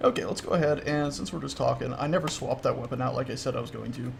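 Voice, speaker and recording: Very fast speech with vocal fry and an American accent, plus audible room echo. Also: man. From US South, Florida. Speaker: gaming livestreamer. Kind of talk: casual gameplay livestream chat. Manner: animated.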